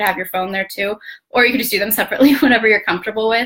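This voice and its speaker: The speaker is a woman with a fairly high pitch. Noticeable background noise runs behind her. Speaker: blogging coach. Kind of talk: live training. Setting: Facebook live video. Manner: fast; occasional stutter. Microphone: laptop.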